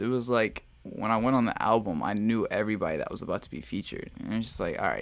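Here a man with an ordinary speaking voice speaks at a medium pitch and a fairly quick pace. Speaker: podcast host talking about music. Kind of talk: casual podcast chat about music.

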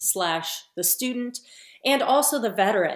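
With an American accent and lively intonation, a woman of fairly high pitch talks at a fairly slow pace. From US West Coast, San Francisco. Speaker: forensic scientist and author. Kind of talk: interview.

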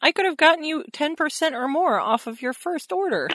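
High-pitched put-on character voice from a woman, moderate in pace. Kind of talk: salesy promo. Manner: upbeat, pitching.

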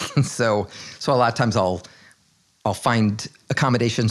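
Medium pitch and an American accent in a man's voice. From New Jersey. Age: 60s. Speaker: artist. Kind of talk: casual chat. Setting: at his home.

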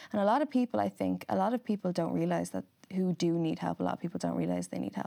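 In an Irish accent, a woman speaks at a very fast pace. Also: dry, close sound with no echo. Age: 20s. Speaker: model and influencer. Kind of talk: casual interview.

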